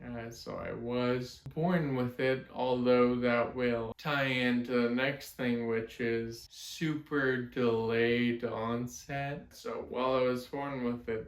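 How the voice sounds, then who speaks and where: A man at a very slow pace with fairly even intonation, plus audible room echo and noticeable background noise. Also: medium pitch for a man. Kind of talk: casual explainer monologue. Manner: slurred, ataxic speech; halting.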